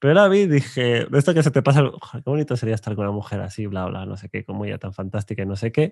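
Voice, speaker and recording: A man at a medium pitch talks at a very fast pace with hardly any pauses, lively intonation and big swings in loudness. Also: quiet background. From Spain, Burgos; Spain. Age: 30s. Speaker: coach and YouTube host; coach, YouTube host. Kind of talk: interview conversation. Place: studio. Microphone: studio mic.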